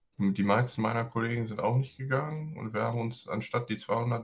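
A man's medium-pitched, somewhat breathy voice. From US, San Francisco Bay Area. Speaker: guest. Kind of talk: casual chat.

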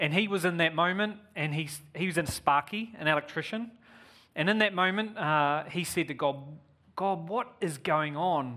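The man's voice is high in pitch, bright and sharp in tone. He keeps a moderate pace with ordinary pitch variation. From New Zealand. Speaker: visiting preacher and charity partnership manager. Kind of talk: sermon. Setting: church.

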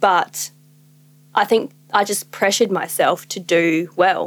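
In an Australian accent, a woman speaks at a medium pitch with ordinary pitch variation. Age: 20s. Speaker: small business owner. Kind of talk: casual chat.

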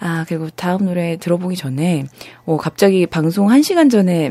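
There is noticeable background noise as a woman talks at a moderate pace with ordinary pitch variation. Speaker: radio host. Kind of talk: casual live radio show. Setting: studio.

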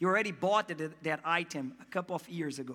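With a non-native accent, a man speaks in a raised, projected voice with ordinary pitch variation. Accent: foreign. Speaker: pastor. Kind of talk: sermon. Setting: church. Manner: animated.

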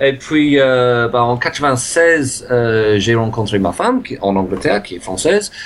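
With noticeable background noise behind him, a man in an English accent talks at a fairly slow pace, medium pitch and ordinary pitch variation. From England. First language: English (speaking French). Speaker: improv actor and teacher. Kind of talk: interview. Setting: video call.

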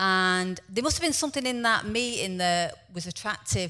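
A woman speaks in a plain, everyday voice at a medium pitch, with ordinary pitch variation. Her pace is moderate, and the recording is very clean with a silent background.

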